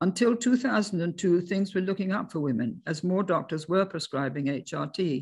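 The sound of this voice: A woman speaks at a fairly low pitch with ordinary pitch variation. Her tone is slightly mellow, with a slightly husky edge. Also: moderate pace.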